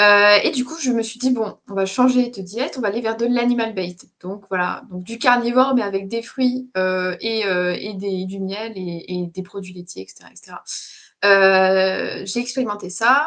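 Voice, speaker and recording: With big swings in loudness, a woman speaks at a fairly slow pace, at medium pitch and with ordinary pitch variation. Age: 20s. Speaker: interview guest. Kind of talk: casual chat. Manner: halting.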